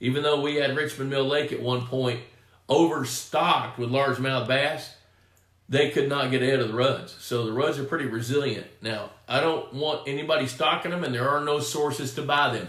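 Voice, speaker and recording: A man speaks at a moderate pace with fairly even intonation, and the room echo is audible. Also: fairly high pitch for a man. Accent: Texan. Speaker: pond management expert, live stream host. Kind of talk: live Q&A stream. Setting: home studio live stream. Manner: casual, conversational.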